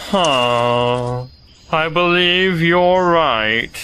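A put-on character voice is delivered at a middle pitch. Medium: audio drama. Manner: gloomy, mournful.

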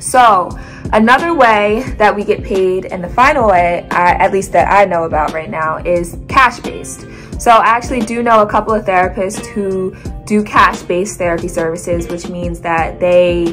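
Over clear music in the background, a woman speaks at a moderate pace with ordinary pitch variation. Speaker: occupational therapist vlogger. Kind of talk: casual vlog chat. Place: home room. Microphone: phone near.

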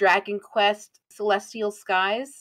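A woman's fairly high voice at a very slow pace. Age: 20s. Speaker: vtuber streamer. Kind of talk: casual chat. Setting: live stream.

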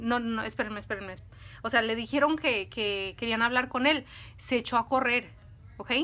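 Her voice is high for a woman, bright and sharp in tone, with ordinary pitch variation. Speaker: video creator telling stories. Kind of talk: casual storytelling monologue, dramatic narration in the 3:44 stretch. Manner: animated, suspenseful, dramatic pacing with asides to viewers; conversational, halting with fillers. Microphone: phone near.

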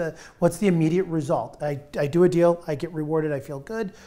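A man's fairly high, dark, mellow voice, fairly even in intonation and fairly quick in pace. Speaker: real estate tech entrepreneur; guest. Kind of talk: roundtable interview. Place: studio. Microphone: lapel.

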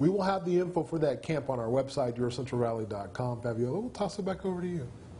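A man's fairly high voice at a very fast pace, lively in intonation, with hardly any pauses and light background noise. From Fresno, California; California. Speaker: news anchor. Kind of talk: live TV interview. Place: studio.

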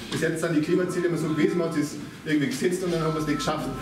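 Speaking very fast with a Bavarian accent, a man uses a fairly high pitch and ordinary pitch variation, with audible room echo and clear music in the background. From Upper Bavaria, Ebersberg district. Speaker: local politician. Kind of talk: political speech. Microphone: camera far.

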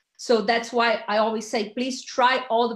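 Amid audible room echo, a woman speaks at a moderate pace with monotone, flat intonation. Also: quiet background. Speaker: network marketer; presenter. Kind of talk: sales pitch. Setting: video call. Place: home room. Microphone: webcam.

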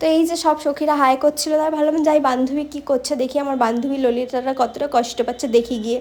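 Her voice is high in pitch, and this woman keeps a fairly even intonation. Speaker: vlogger. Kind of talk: vlog voice-over. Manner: normal speaking voice; chatty.

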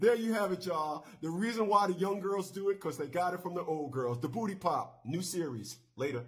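A man talks with lively intonation at a fairly quick pace. He hardly pauses at all. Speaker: talk show host. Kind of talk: call-in radio show hosting. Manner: casual. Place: studio. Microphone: studio mic.

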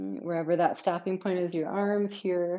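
A woman with an unremarkable speaking voice talks at a fairly slow pace and a fairly low pitch. The background is quiet. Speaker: yoga teacher. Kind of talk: guided yoga class, calm cueing. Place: home room.

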